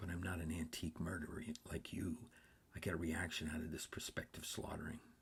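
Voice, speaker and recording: A man's raspy, whispered put-on character voice, very fast and at very even loudness. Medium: read story. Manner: flippant, mock-formal.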